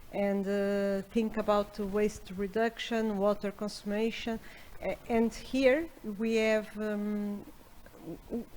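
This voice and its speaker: A woman with a non-native accent speaks at a very slow pace. Her medium-pitched voice holds a monotone, flat intonation. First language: not English. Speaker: professor, panelist. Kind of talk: panel discussion. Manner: halting.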